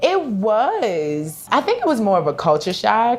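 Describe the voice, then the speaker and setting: Someone speaks with a Virginia accent amid noticeable background noise. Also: woman. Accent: Virginia country accent, still noticeable. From Virginia, US South. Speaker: leather accessories maker. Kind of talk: podcast interview. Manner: casual, conversational.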